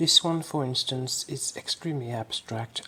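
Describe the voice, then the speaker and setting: A woman, soft-spoken, in a relaxed tone. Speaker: fashion illustrator. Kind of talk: casual talk to camera. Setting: close-mic ASMR style recording. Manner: soft-spoken, slow, relaxed.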